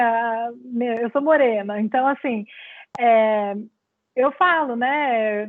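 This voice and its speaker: Here a woman speaks at a high pitch. She uses ordinary pitch variation. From Brazil. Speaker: clinical psychologist. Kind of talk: lecture Q&A. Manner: halting.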